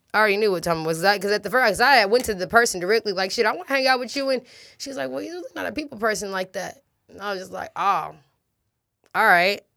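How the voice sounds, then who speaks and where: A very fast, animated woman with an American accent and lively intonation. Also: medium pitch for a woman. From US, same city as host; parents from Los Angeles and Detroit. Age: 20s. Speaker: rapper. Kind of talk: casual interview chat.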